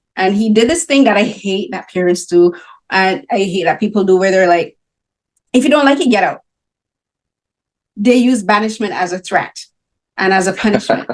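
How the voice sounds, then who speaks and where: In a Barbadian accent, a woman with an animated tone speaks at a medium pitch and a moderate pace, with ordinary pitch variation and long, frequent pauses. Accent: Barbadian (Caribbean) English. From Barbados. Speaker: film critic and interviewer. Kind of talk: interview.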